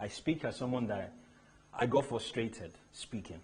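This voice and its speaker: This man's voice is somewhat breathy. It sits at a medium pitch and varies in an ordinary way. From Nigeria, Lagos area. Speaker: luxury shoe brand founder. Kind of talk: motivational talk. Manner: animated.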